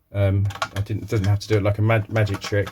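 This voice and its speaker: A man's fairly low-pitched, somewhat breathy voice. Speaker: retro console repairer. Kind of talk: tutorial. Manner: casual, hesitant with fillers.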